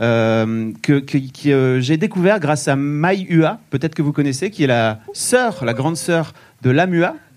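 A man talks at a very slow pace with lively intonation. His voice sits fairly high in pitch. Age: 40s. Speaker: podcast co-host. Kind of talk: casual chat. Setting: stage with audience.

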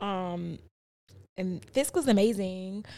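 The speaker is a woman. Her accent is American. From South Side of Chicago. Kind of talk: casual chat.

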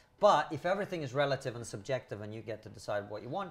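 Somewhat breathy and very fast, a man talks in a fairly high pitch with very wide pitch swings. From Soviet Union. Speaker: comedian and podcaster. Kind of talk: casual discussion.

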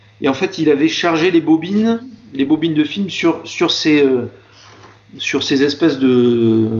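There is noticeable background noise as a man with a fairly high pitch talks at a fairly slow pace with ordinary pitch variation. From southern France, Marseille area. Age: 20s. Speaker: health and safety manager. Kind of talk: interview conversation. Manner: hesitant, many fillers and repetitions.

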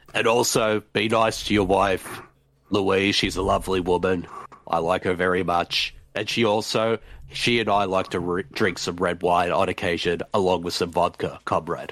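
Putting on a character voice, a man speaks at a moderate pace in a raspy, very deep, low pitch. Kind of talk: playful, committing to the bit.

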